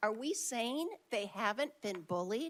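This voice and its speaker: A woman talks loudly at a high pitch. Her pace is fairly slow. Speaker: public commenter at school board meeting. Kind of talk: public comment speech. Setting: board meeting with large crowd, microphone.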